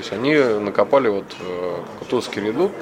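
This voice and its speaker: Noticeable background noise behind a man's medium-pitched voice, moving at a moderate speed. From Moscow, Russia. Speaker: amateur motorcycle rally-raid racer. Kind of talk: interview.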